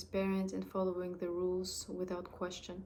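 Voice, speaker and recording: The voice belongs to a woman. Her tone is dark and mellow. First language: French. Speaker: amateur storyteller. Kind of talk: reading aloud. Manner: halting, with restarts.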